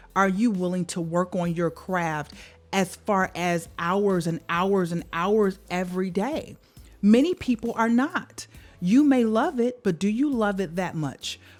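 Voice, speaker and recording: In an ordinary speaking voice, a woman talks at a fairly slow pace, her medium pitch showing ordinary variation. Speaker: vocal coach and life coach. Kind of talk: motivational talk. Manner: earnest, encouraging.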